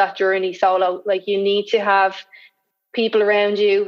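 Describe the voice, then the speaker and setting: A woman's medium-pitched voice in a Dublin accent, monotone and flat in intonation. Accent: Dublin Irish. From Ireland, Dublin. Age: 30s. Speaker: guest in recovery. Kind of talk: casual interview chat. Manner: halting.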